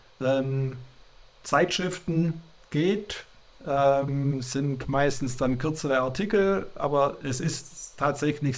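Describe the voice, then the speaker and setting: A man speaks at a very slow pace. His medium-pitched voice shows ordinary pitch variation. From Germany, Swabia (Sindelfingen). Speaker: churchgoer interviewee. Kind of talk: interview. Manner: halting, many hesitations.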